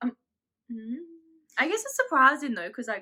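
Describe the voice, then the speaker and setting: A woman's high-pitched voice, bright and sharp in tone, at a fairly quick pace. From South Africa. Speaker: YouTuber. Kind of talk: casual chat.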